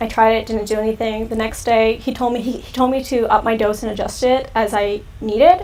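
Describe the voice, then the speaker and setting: A woman with an American accent speaks at a fairly quick pace and fairly high pitch, her intonation fairly even over noticeable background noise. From California. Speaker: youtuber. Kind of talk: live stream Q&A chat. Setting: live stream. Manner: casual, filler-heavy.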